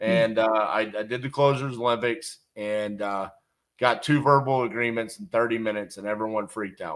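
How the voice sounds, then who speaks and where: At a moderate pace, a man with an unremarkable speaking voice talks at a medium pitch with ordinary variation. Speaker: real estate investor and coach. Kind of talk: casual interview chat.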